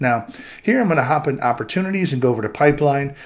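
A man speaks with ordinary pitch variation. The background is quiet. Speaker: presenter. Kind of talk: tutorial. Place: home room.

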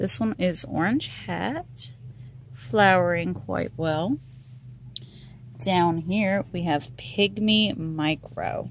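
With light background noise, a woman speaks in a very deep, low voice with vocal fry and very wide pitch swings. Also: dry sound with no echo. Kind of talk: casual garden tour vlog. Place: garden. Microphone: phone near.

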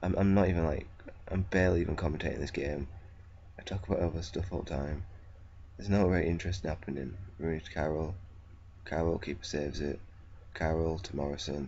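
A man with a very deep, low pitch and vocal fry speaks at a fairly quick pace. His intonation is fairly even, and audible room echo is present. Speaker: gaming video creator. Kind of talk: gameplay commentary.

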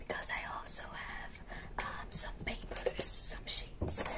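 Very slow whispering from a woman. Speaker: ASMR creator. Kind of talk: ASMR roleplay as a caring best friend, casual talk to camera. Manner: soft-spoken, friendly. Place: home room.

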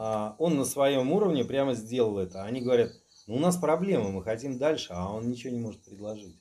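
At a fairly quick pace, a man speaks in a dark, mellow tone with lively intonation. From Saint Petersburg, Russia. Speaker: magic practitioner; guest. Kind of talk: casual chat. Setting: indoors at night at his home. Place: home room. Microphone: camera far.

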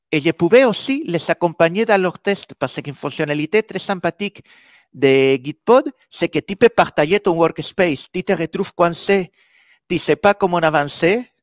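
With a Spanish accent, the speaker goes at a fairly slow pace in a dry sound with no echo. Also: man, quiet background. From Spain. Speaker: software developer and conference speaker. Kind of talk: conference talk. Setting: stage with audience. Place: meeting room.

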